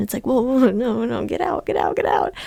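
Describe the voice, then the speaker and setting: Soft-spoken and whispering, the voice moves at a fairly quick pace. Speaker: podcast host. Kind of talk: casual solo chat. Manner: soft-spoken, near whisper.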